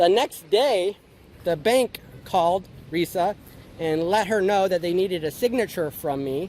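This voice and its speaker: This man has a high pitch and ordinary pitch variation, talking at a fairly slow pace. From outside the Philippines. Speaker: vlogger. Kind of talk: personal story vlog. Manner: loud; hesitant, many fillers.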